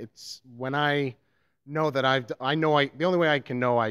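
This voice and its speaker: A man speaks with a New York accent. His pace is moderate and the background is quiet. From New York City, the Bronx. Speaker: community theatre actor. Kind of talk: interview. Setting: at a theatre performance venue. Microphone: handheld.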